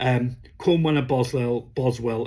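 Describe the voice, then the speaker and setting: With a British accent, a man speaks in a somewhat breathy voice with fairly even intonation. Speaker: comic book reviewer. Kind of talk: casual review vlog. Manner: hesitant, many fillers.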